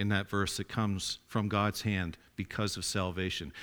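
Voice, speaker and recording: A man with a normal speaking voice, fairly low in pitch, at a moderate pace, in a very clean recording with a silent background. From Atlantic Canada, rural farming area. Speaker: lay preacher. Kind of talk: sermon. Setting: church.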